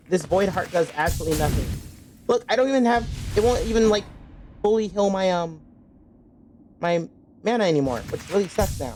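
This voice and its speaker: The speech comes at a fairly quick pace with long, frequent pauses. Noticeable background noise is present. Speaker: video game streamer. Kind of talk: live gameplay commentary. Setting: live stream.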